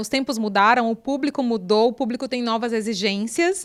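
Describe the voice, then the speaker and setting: The speaker's pitch varies in an ordinary way in a very clean recording with a silent background. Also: woman. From Brazil, Northeast (Picos, Piauí). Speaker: podcast host, journalist. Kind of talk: casual interview chat.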